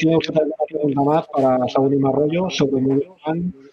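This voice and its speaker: A man's voice, fairly high in pitch. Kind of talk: casual interview chat. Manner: halting, frequent repetitions.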